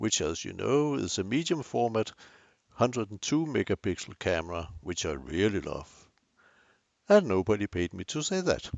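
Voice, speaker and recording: A man speaks with a strong Danish accent at a fairly low pitch. His voice shows vocal fry and very wide pitch swings. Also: moderate pace. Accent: Danish, thick. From Denmark. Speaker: photography youtuber. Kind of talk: tutorial. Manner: hesitant with fillers.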